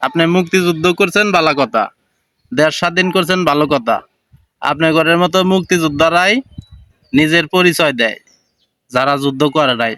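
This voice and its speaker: Bright and sharp in tone, a man speaks at a fairly high pitch with very even loudness. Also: ordinary pitch variation. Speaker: commentary video maker. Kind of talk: reaction commentary. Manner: animated.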